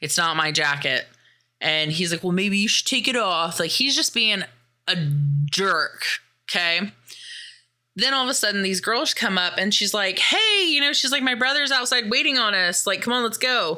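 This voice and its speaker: At a moderate pace, a woman with a medium pitch speaks in an animated tone, her pitch swinging very widely. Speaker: podcast host. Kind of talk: film review recap.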